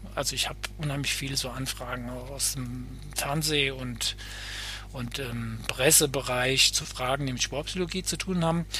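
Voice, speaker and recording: Noticeable background noise fills the recording. Through it, a man speaks at a moderate pace. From Hesse, Germany (Bad Nauheim). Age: 50s. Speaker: sports psychologist. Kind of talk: casual interview.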